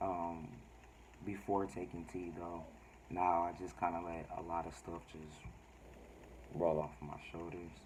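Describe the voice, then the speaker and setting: A man with a very deep, low pitch talks fairly slowly in a monotone, flat intonation, with big swings in loudness, long, frequent pauses and audible room echo. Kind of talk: casual vlog talk. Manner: halting, many fillers.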